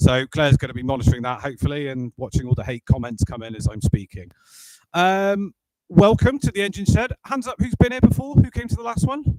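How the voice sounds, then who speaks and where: With a West Country accent, a man speaks in a fairly high pitch with very wide pitch swings and big swings in loudness, the sound dry and close with no echo. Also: fairly quick pace. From Bristol, England. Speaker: sales director presenting a workshop. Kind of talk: workshop presentation to live audience. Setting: auditorium with live audience, live streamed. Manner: loud, projecting without a microphone; casual, jokey.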